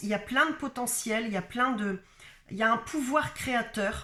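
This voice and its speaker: At a moderate pace, a woman with a fairly high pitch and a bright, sharp tone talks with ordinary pitch variation. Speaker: spiritual coach / card reader. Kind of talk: channeled guidance reading. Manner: halting, many hesitations.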